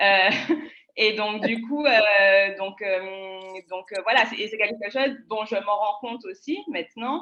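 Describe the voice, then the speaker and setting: A woman at a very slow pace, fairly high in pitch. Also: ordinary pitch variation. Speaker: public speaking panelist. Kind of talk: panel discussion. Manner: choppy delivery.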